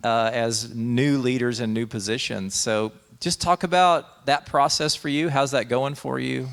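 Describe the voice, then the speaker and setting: A man with an American accent at a fairly slow pace, a normal speaking voice at medium pitch with ordinary pitch variation. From Texas, Dallas area. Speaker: pastor and show host. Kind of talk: interview conversation.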